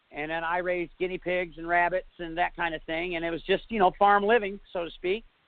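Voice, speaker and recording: A man speaks at a moderate pace with a high pitch. His intonation stays fairly even. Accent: slight northern US. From northern New York, US. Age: 40s. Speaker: bigfoot eyewitness. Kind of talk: interview testimony. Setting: internet radio show. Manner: halting, many fillers.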